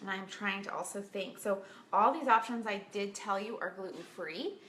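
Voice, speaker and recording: Speaking at a medium pitch with ordinary variation, a woman's voice carries audible room echo. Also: moderate pace. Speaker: health coach. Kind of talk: casual tutorial.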